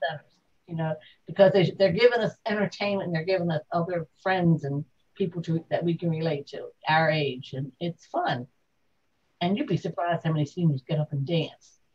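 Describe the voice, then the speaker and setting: At a fairly quick pace, a woman talks in a fairly low, somewhat breathy voice with ordinary pitch variation. The sound is dry and close, with no echo. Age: 70s. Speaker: interviewee, retiree. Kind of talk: interview at home. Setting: in a home.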